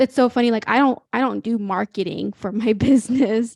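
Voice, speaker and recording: A woman with a Midwestern accent speaks at a fairly high pitch with fairly even intonation. The sound is dry and close with no echo, over a quiet background. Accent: American Midwest. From Ethiopia, then small-town Illinois. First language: Amharic or other Ethiopian language. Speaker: young entrepreneur. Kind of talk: interview conversation. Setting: video call. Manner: hesitant, lots of fillers.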